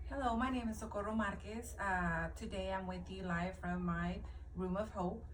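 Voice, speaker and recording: Audible room echo and noticeable background noise accompany this woman's speech. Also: moderate pace. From New Mexico, US (born in Mexico). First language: Spanish. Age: 40s. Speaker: motivational video maker. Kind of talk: personal testimony, live video. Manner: halting, many fillers.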